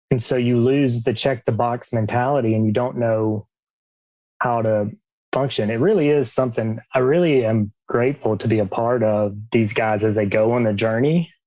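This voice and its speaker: In an Alabama accent, a man with a dark, mellow tone and medium pitch talks at a moderate pace, his intonation fairly even and his loudness very even. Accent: Southern US (Alabama). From US South, Alabama. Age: 40s. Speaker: coach for men coming out. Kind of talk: podcast interview.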